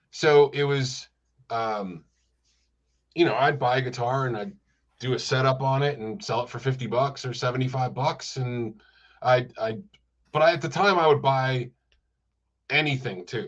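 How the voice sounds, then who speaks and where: Against a quiet background, a man with an American accent speaks at a moderate pace in a somewhat breathy, medium-pitched voice with ordinary pitch variation and long, frequent pauses. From US Northeast (Rochester, New York). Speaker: music store owner. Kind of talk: casual chat.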